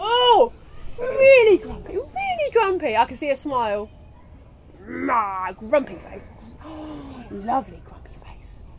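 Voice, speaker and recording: A woman speaks in a high pitch with an animated, playful tone, very wide pitch swings and big swings in loudness. Her pace is fairly slow, with long, frequent pauses, and there is noticeable background noise. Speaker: children's storyteller. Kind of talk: live children's storytelling to a school audience. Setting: school hall with children. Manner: animated, playful, interactive.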